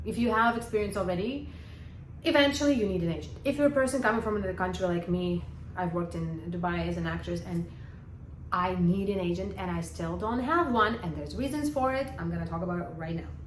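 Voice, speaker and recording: A woman rushes along at a very fast pace, with audible room echo and noticeable background noise in the recording. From Ukraine. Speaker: actress and acting vlogger. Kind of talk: casual vlog advice talk. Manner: hesitant, many fillers.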